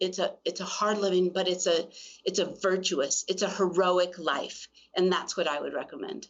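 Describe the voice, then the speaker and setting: Speaking with a plain, everyday voice, a woman has a medium pitch. Her intonation is fairly even and her pace moderate. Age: 60s. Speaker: co-founder of a women's health clinic. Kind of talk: casual interview chat.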